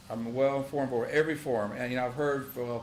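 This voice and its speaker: A man in a Texan accent, medium-pitched and monotone with flat intonation, talking very fast amid noticeable background noise and audible room echo. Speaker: county sheriff. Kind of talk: public meeting report. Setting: county commissioners' court session.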